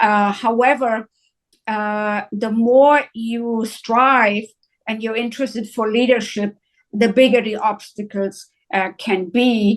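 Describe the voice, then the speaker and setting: A woman speaks very slowly in a German accent, her pitch fairly high. Her intonation is monotone and flat, and the background is quiet. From northern Germany, near Hanover. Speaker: psychiatrist. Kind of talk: interview. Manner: hesitant, many uhs.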